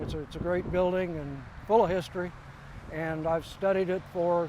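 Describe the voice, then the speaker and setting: With a Midwestern American accent, a man speaks at a high pitch. His tone is dark and mellow. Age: 70s. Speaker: local historian. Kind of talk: interview.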